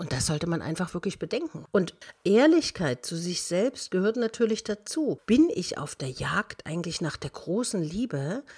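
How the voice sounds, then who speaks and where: A somewhat breathy woman with very wide pitch swings, on a very clean recording with a silent background. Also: medium pitch for a woman, moderate pace. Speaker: motivational coach, podcast host. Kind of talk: advice monologue.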